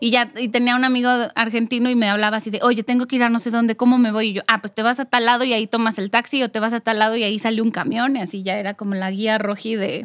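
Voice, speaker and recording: Very fast and flat, a woman speaks in a monotone at a fairly high pitch. The sound is dry and close, with no echo. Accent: Mexican. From Mexico, Morelia. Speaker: podcast co-host, former journalist. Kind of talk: casual chat.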